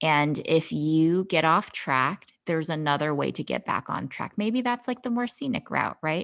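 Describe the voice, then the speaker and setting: In a very clean recording with a silent background, a woman uses an ordinary speaking voice at a fairly low pitch with lively intonation. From US, born in China. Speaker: physician and life coach. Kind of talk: casual interview chat.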